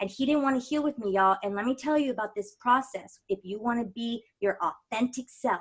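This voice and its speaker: Talking at a fairly quick pace with hardly any pauses, a woman uses a fairly high pitch. Her pitch variation is ordinary. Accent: American. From Texas, San Antonio. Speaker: mindfulness coach. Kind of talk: interview. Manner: animated.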